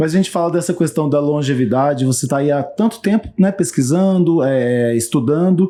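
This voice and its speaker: A dark, mellow tone carries lively intonation with very even loudness and hardly any pauses. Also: man, fairly high pitch for a man, moderate pace. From Brazil, Minas Gerais. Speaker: talk show host. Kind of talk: interview.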